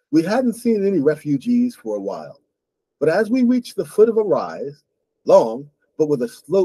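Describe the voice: Lively intonation in a plain read-aloud passage, quiet all around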